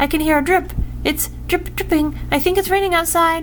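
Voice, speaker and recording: In a put-on character voice, squeaky and anxious in tone, the speaker talks at a moderate pace against clear background noise. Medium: read story. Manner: anxious, pleading.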